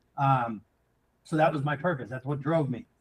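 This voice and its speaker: A somewhat breathy man with an American accent. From central Massachusetts. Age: 30s. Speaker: entrepreneur. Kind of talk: casual interview chat. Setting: live show.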